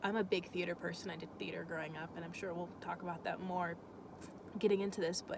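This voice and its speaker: Her pitch fairly low, a woman speaks with fairly even intonation. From Florida, US South. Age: 20s. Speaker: vlogger. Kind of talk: casual vlog talk. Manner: halting.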